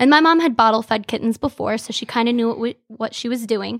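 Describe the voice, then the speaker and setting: A woman with an Upper Midwest accent and a fairly high pitch, at a moderate pace, in a dry, close sound with no echo. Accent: Upper Midwest American. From Michigan, Frankenmuth. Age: 20s. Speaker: cat rescue worker. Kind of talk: casual interview.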